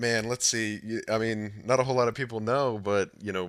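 A man with an American accent talks very fast, his fairly low voice rising and falling in an ordinary way. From Michigan, Detroit area. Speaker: game mod PR representative. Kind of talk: interview. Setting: online voice call.

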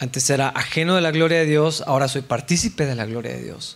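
A man's fairly high voice, somewhat breathy, moves with ordinary pitch variation. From Mexico. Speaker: pastor. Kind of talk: sermon.

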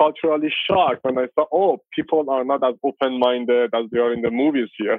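Talking at a fairly quick pace with hardly any pauses, a man with a Persian accent keeps to a medium pitch. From Iran, Tehran. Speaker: filmmaker and former metal musician. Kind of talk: interview.

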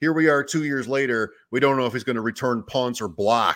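In a very clean recording with a silent background, a man talks at a moderate pace in a medium pitch with ordinary pitch variation, an unremarkable speaking voice. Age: 50s. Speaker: fantasy football podcast host. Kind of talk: casual chat.

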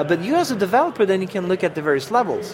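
A man with a French accent speaks at a high pitch. Noticeable background noise is present. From France. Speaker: software program manager. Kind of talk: casual interview. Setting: live at a tech conference.

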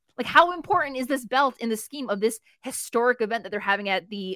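Dry and close with no echo, this is a woman in a normal speaking voice. She has a fairly high pitch and an American accent. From New Jersey. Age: 40s. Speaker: wrestling writer. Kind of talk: casual chat.

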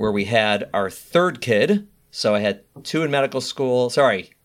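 A man with an American accent, an ordinary speaking voice at medium pitch and moderate pace with ordinary pitch variation, on a very clean recording with a silent background. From US Midwest, Chicago. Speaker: high-risk pregnancy doctor. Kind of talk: interview.

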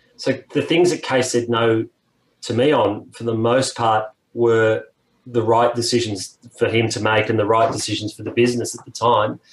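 With an Australian accent, a man talks at a moderate pace, his medium pitch held in fairly even intonation. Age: 50s. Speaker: music industry executive. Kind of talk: casual interview.

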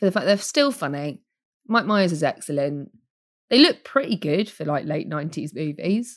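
A woman with a British accent talks at a moderate pace, her intonation lively. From United Kingdom. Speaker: podcast host. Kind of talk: casual chat.

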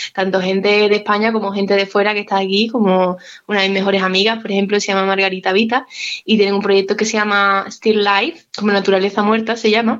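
The woman speaks at a very fast pace. Her pitch is medium and her intonation is monotone and flat. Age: 20s. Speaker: musician. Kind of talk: interview.

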